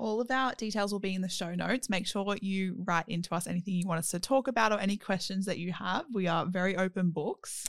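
With an Australian accent, the speaker rushes at a very fast pace with hardly any pauses. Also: woman, medium pitch for a woman, ordinary pitch variation. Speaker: podcast host. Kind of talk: casual chat.

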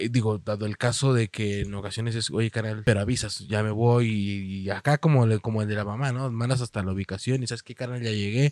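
A man talks at a medium pitch and a fairly quick pace, his intonation fairly even. The sound is dry and close, with no echo. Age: 20s. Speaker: podcast co-host. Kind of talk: casual chat.

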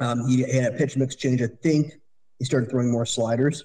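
In a Canadian accent, a man talks at a fairly quick pace with a dark, mellow tone. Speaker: fantasy baseball podcast co-host. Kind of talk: casual chat.

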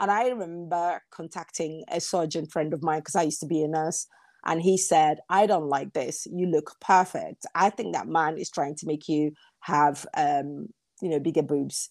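Using an ordinary speaking voice, a woman speaks at a fairly low pitch with ordinary pitch variation. Her pace is moderate, and the recording is very clean with a silent background. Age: 40s. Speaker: business analyst and content creator. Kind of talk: casual chat.

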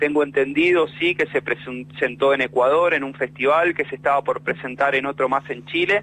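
Someone with a Rioplatense accent speaks with a bright, sharp tone. There are hardly any pauses. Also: man, fairly high pitch for a man, fairly even intonation, moderate pace. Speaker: bus worker, union delegate and writer. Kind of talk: interview.

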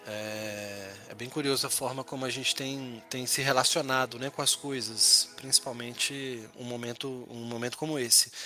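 With music in the background, a man talks at a moderate pace with hardly any pauses. His medium pitch stays fairly even in intonation, while his loudness swings widely. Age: 40s. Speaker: business executive. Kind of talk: interview.

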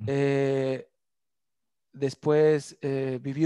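A man with a Mexican accent and fairly high pitch, against a quiet background. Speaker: communications graduate, fitness dancer. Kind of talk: casual interview, personal life story. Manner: halting, many fillers.

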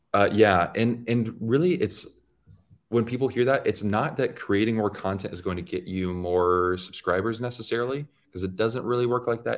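A normal speaking voice from a man, medium pitch, ordinary pitch variation, fairly quick pace, quiet background. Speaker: YouTube educator, loan officer. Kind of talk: casual interview.

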